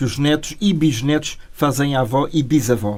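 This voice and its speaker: A man with a European Portuguese accent speaks in a dark, mellow tone. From Portugal. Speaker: radio interviewer. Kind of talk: interview.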